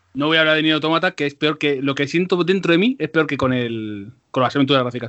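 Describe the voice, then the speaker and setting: A man's fairly high-pitched voice at a very fast pace, with ordinary pitch variation. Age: 30s. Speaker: podcast host. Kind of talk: casual chat. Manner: animated.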